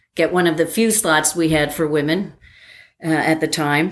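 On a very clean recording with a silent background, a woman with an American accent and an unremarkable speaking voice talks fairly slowly at a fairly low pitch. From New Jersey. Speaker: airline pilot and former college athlete. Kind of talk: casual interview.

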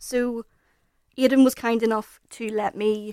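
A woman with a Northern Irish accent speaks in a fairly high pitch with monotone, flat intonation, recorded very cleanly against a silent background in a dry, close sound with no echo. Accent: Northern Irish (Belfast). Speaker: podcast panelist. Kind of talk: casual chat.

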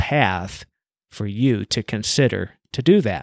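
In a very clean recording with a silent background and a dry, close sound with no echo, a man with an American accent, an unremarkable speaking voice and medium pitch talks at a fairly slow pace with lively intonation. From United States. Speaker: podcast host, business coach. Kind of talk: motivational monologue.

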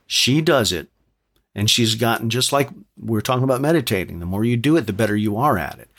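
Very fast and with lively intonation, a man with an American accent talks with big swings in loudness on a very clean recording with a silent background. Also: medium pitch for a man. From New York City. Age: 50s. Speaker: podcast guest, music fan and singer. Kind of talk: casual chat.

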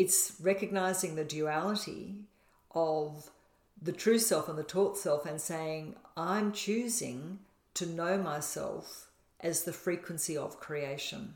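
In an Australian accent, a woman talks in a fairly low voice with vocal fry and ordinary pitch variation. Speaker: podcast co-host, spiritual manifestation teacher. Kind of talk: casual conversational teaching.

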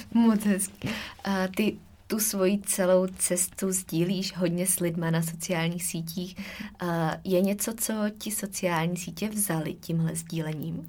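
A woman at medium pitch speaks fairly slowly and somewhat breathily, keeping a fairly even intonation. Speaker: podcast host, nutrition coach. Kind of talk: interview.

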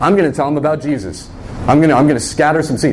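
A man speaks at a fairly high pitch for a man. Audible room echo and noticeable background noise fill the recording. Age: 30s. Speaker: pastor. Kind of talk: sermon.

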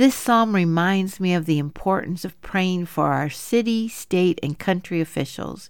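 In a very clean recording with a silent background, a woman talks at a fairly slow pace in an ordinary speaking voice, medium in pitch with ordinary pitch variation. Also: hardly any pauses. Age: 50s. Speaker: women's Bible study podcast host. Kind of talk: Bible teaching monologue.

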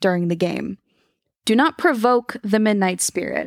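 A woman with an unremarkable speaking voice talks fairly slowly at a medium pitch with lively intonation, recorded dry and close with no echo. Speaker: podcast co-host telling the story. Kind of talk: bedtime ghost story telling, reading out the game's rules. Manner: playful, breaking into laughter and joking with co-hosts.

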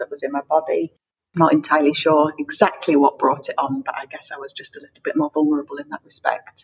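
A woman with an English accent at a fairly quick pace, in a dry, close sound with no echo. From England. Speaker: freelance writer. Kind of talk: interview.

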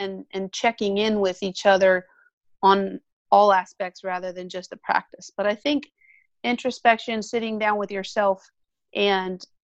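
A woman with a General American accent speaks at a medium pitch in a monotone, flat way. The sound is dry and close with no echo, over a quiet background. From Colorado. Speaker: orthodontist. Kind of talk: interview.

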